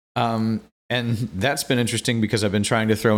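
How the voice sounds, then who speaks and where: Speaking fairly quickly with an American accent, a man uses a fairly low pitch and monotone, flat intonation on a very clean recording with a silent background. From US Midwest, Quincy, Illinois. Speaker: flow artist and fire performer. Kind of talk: casual interview chat.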